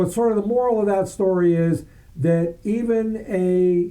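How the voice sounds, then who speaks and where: Loud and high-pitched, a man speaks in a dark, mellow tone. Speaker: birding society field trip coordinator. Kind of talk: casual chat.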